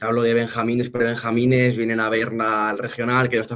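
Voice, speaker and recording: Speaking at a very fast pace, a man talks at medium pitch. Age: 20s. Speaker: football club representative, former player. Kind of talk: interview. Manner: halting, many repetitions.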